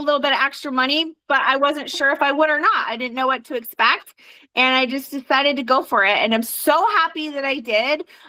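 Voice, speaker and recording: Projecting a raised voice, a woman speaks at a moderate pace in a high pitch, her tone animated, bright and sharp. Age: 40s. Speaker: direct sales team leader and trainer. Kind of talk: team training call.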